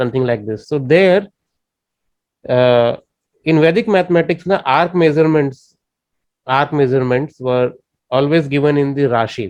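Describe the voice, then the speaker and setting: Speaking with an Indian accent, a man with a fairly high pitch moves at a moderate pace, showing ordinary pitch variation and long, frequent pauses. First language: Indian language. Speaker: astrology teacher. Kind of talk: lecture. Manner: halting.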